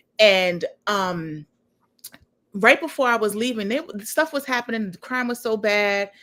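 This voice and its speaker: A woman with a Harlem accent speaks at a fairly high pitch in a bright, sharp tone, using lively intonation, a fairly slow pace and long, frequent pauses. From New York (Harlem). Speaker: executive director, show host. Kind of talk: casual interview chat.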